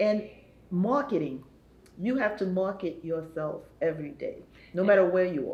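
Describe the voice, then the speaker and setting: A woman's somewhat breathy voice at a moderate pace, lively intonation, long and frequent pauses, and audible room echo. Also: medium pitch for a woman. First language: not English. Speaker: talk show co-host. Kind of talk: panel talk show chat.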